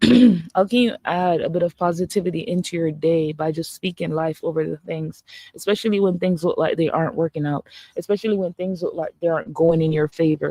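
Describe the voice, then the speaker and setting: A woman with a Jamaican accent speaks at a moderate pace and fairly low pitch. Her tone is dark and mellow, and the sound is dry and close with no echo. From Jamaica, Saint Catherine. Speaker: holistic coach. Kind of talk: live-stream motivational talk. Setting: social media live stream. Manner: animated.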